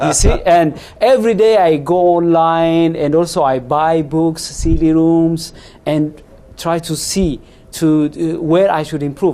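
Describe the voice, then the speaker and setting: Against noticeable background noise, a man with a high pitch talks at a fairly slow pace with fairly even intonation. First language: not English. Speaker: interview show host. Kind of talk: interview. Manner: halting, with frequent fillers.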